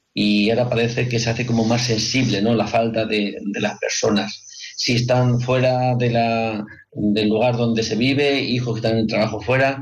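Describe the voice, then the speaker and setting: With audible room echo, a man talks at a moderate pace and medium pitch, his loudness very even and his intonation monotone and flat. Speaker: radio host. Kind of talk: radio talk show.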